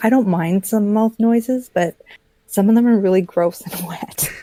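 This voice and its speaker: The dry, close sound with no echo captures a woman's dark, mellow tone and ordinary pitch variation. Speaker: ASMR creator. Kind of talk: casual talk in a conversation. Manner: slightly louder than host.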